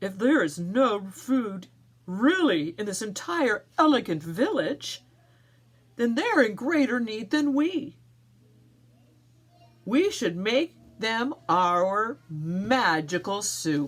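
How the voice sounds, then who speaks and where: A woman puts on a character voice with very wide pitch swings. She speaks very slowly, with long pauses that come often. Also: fairly high pitch for a woman. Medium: read story. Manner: pleading, gentle.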